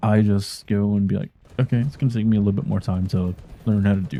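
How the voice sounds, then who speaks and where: Quiet and mumbling, a man speaks with a fairly low pitch, a dark, mellow tone and ordinary pitch variation, in a very clean recording with a silent background and a dry, close sound with no echo. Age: 30s. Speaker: gaming streamer and video creator. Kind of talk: personal explainer monologue.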